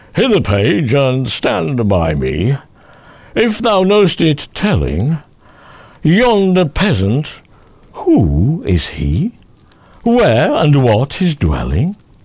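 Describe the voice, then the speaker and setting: Using a put-on character voice, a man speaks in a fairly high pitch at a very slow pace, with long, frequent pauses. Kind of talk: archaic ballad speech. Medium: read story. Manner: commanding, noble.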